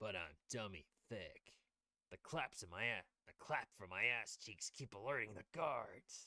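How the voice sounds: In a put-on character voice, a man talks at a moderate pace with a gravelly, medium-pitched sound and big swings in loudness.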